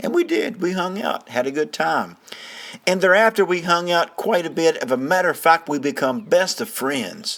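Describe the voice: At a moderate pace, a man speaks with a fairly high pitch, a fairly bright tone, vocal fry and big pitch swings.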